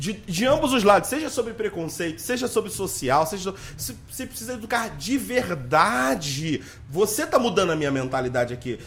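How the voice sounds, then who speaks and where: A man speaks loudly, his pitch swinging very widely. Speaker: podcast host. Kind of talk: casual interview. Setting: studio with cameras.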